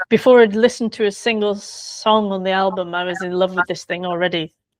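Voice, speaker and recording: Against a quiet background, a woman with an English accent speaks at medium pitch with fairly even intonation. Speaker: biographer. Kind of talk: interview.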